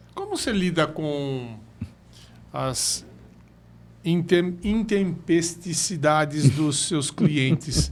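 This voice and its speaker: Pausing long and often, a man talks at a very slow pace and fairly high pitch with ordinary pitch variation. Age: 60s. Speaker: podcast host. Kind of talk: interview. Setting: studio.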